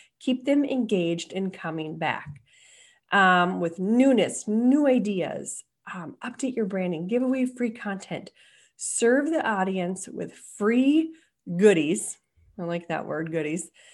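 A woman with an American accent speaks at a fairly slow pace, her medium pitch showing very wide pitch swings. The background is quiet. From Minnesota. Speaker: marketing consultant. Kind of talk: webinar presentation. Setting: online webinar. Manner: halting, frequent fillers and self-corrections.

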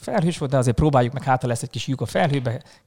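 A man speaks very fast at a fairly high pitch, his intonation fairly even. His voice is somewhat breathy. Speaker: astrophotographer and hospitality worker. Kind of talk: casual chat.

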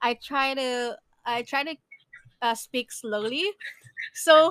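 Speech moves at a very slow pace with ordinary pitch variation and a dry, close sound with no echo. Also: woman, high pitch for a woman. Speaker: podcast host. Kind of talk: casual chat.

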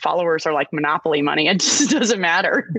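A woman with an American accent speaks at a moderate pace and a fairly low pitch. Her tone is bright and sharp, in a dry, close sound with no echo. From Texas. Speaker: actor. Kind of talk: casual podcast interview.

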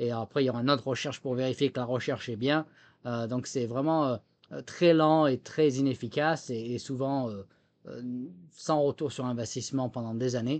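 Fairly even intonation from a man at a moderate pace, quiet background. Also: medium pitch for a man. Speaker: former military software chief. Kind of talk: interview. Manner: halting, many repetitions and fillers.

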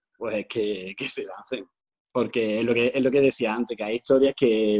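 A man speaks at a medium pitch and a moderate pace. His intonation is fairly even. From Andalusia, Granada. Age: 30s. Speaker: author. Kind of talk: interview. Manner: halting, many repetitions.

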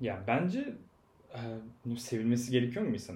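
Heard with audible room echo, a man talks at a medium pitch in a somewhat breathy voice. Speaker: podcast guest. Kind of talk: casual chat.

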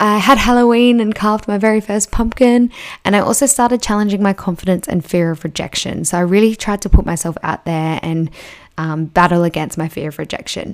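Speaking at a fairly quick pace, a woman uses an animated tone. Her pitch is medium, with ordinary variation. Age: 20s. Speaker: podcast host, manifestation coach. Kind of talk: guided reflection monologue.

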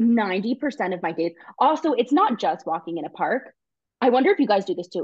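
A woman speaks with an American accent at a fairly quick pace. Her pitch swings very widely. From New York. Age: 20s. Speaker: guest. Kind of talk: casual chat.

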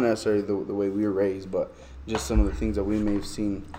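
Noticeable background noise sits behind this recording. A man with an American accent speaks at a fairly low pitch. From US Southwest, southwest Albuquerque, New Mexico. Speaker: podcast host. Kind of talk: casual chat.

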